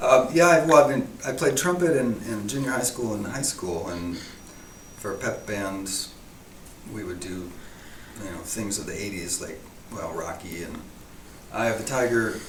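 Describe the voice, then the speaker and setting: With an American accent and a medium pitch, a man talks at a moderate pace with lively intonation, big swings in loudness and long, frequent pauses, over noticeable background noise and audible room echo. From US East Coast, near DC. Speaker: artist. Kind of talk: casual interview. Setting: art show venue. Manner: soft-spoken.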